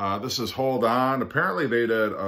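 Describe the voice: At a moderate pace, a man speaks with a fairly bright tone and ordinary pitch variation.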